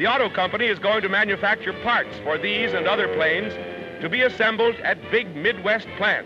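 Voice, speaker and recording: The voice is raised and projected, moving at a fairly quick pace with ordinary pitch variation. Music plays in the background. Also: man, high pitch for a man. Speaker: newsreel narrator. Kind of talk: 1940s newsreel narration.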